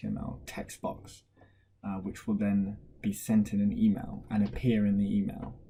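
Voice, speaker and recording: A man speaks quietly. His pace is fairly slow. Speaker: tech tutorial creator. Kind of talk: screen-recorded software tutorial. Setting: at home, baby sleeping downstairs. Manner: speaking quietly; casual with many fillers.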